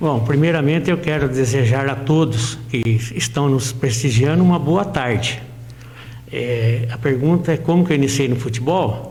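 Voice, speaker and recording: A man at a medium pitch talks at a moderate pace with ordinary pitch variation, amid noticeable background noise and audible room echo. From Brazil, interior of São Paulo state (Santa Cruz region). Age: 60s. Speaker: amateur footballer and local sports reporter. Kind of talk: interview. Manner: halting.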